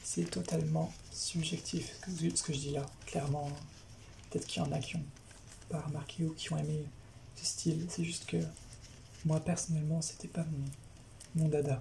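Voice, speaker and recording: A soft-spoken woman whispers at a moderate pace, with vocal fry. She leaves long, frequent pauses. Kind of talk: soft-spoken ASMR talk to camera, manga review. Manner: soft-spoken, whispering.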